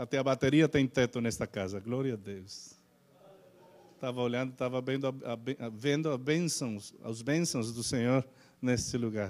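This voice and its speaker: A man speaks in a Spanish accent at a medium pitch. His pace is moderate and his pitch varies in an ordinary way. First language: Spanish (speaking Portuguese). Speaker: pastor. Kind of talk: sermon. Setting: church. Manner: halting, many fillers.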